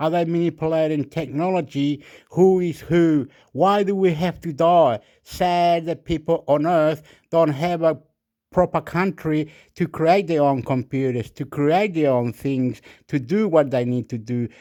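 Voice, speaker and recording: A man with a fairly high pitch has a dark, mellow tone and ordinary pitch variation. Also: fairly slow pace, very clean recording, silent background. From Chile. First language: Spanish. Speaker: YouTuber. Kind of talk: rambling monologue. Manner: animated.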